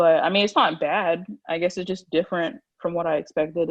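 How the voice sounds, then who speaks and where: A woman's fairly low voice at a very fast pace. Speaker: pre-med college student. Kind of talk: interview.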